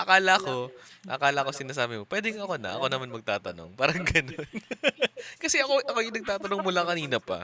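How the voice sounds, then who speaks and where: A man mumbles at a very fast pace with a fairly high pitch and very wide pitch swings. Noticeable background noise runs underneath. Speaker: podcast co-host. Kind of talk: casual chat. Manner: tends to mumble.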